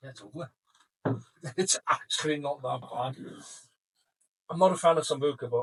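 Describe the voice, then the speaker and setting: Breathing somewhat audibly, a man speaks at a moderate pace with a fairly high pitch, ordinary pitch variation, big swings in loudness and long, frequent pauses, in a dry, close sound with no echo. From Africa. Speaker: podcast host. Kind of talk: casual podcast banter.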